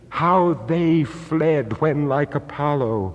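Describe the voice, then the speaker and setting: Noticeable background noise sits behind the recording. A man speaks very slowly with lively intonation. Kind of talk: poetry reading.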